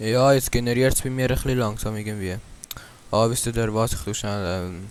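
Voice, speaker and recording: A man speaks at a moderate pace with fairly even intonation. He leaves long, frequent pauses. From Switzerland. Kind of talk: casual gaming commentary.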